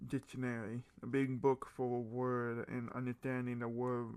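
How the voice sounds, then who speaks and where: A man speaks at a fairly slow pace in a monotone, flat delivery. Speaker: gaming YouTuber. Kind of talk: casual gameplay commentary. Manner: stuttering at times.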